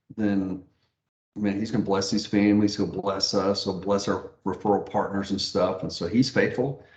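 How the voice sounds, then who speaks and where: Using a plain, everyday voice, a man speaks at a moderate pace with a fairly low pitch and fairly even intonation. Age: 60s. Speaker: mortgage branch manager and pastor. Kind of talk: interview.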